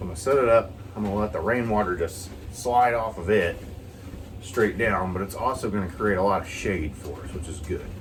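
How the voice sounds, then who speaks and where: In a room with audible echo, a man with a fairly low voice talks at a fairly quick pace with ordinary pitch variation. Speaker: vlogger. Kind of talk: casual chat. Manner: rambling, hesitant.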